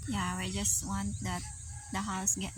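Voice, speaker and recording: A woman speaks with audible room echo around her. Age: 30s. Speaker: vlogger. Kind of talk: casual chat. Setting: outdoors.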